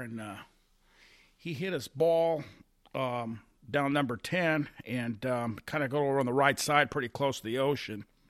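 With an American accent, a man talks at a fairly slow pace, his medium pitch showing ordinary variation. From US Midwest. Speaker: golf caddie. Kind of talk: casual chat.

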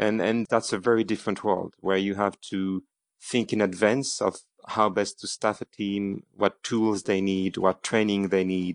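With a French accent, a man speaks in a fairly low, flat monotone at a fairly slow pace, the sound dry and close with no echo over a quiet background. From France. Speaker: corporate general counsel. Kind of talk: interview. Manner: halting, with frequent repetitions.

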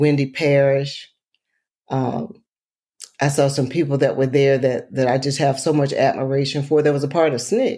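This woman has a very deep, low pitch and a dark, mellow tone. She speaks in an Alabama accent. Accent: Southern US, Alabama. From US South, rural Alabama. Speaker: environmental health advocate and author. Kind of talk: interview conversation.

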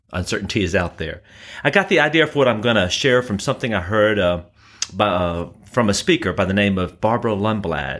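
A man speaks at a fairly quick pace with a fairly low pitch and an unremarkable speaking voice. The recording is very clean, with a silent background. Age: 60s. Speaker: pastor. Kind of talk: sermon; casual chat.

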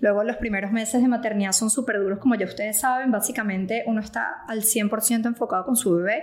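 A woman with an ordinary speaking voice talks at a fairly quick pace and a fairly high pitch. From Venezuela. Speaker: physician (ENT doctor). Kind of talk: casual chat.

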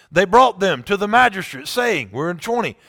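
A bright, sharp tone moves along at a fairly quick pace. The recording is very clean, with a silent background. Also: man. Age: 40s. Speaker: pastor. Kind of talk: sermon.

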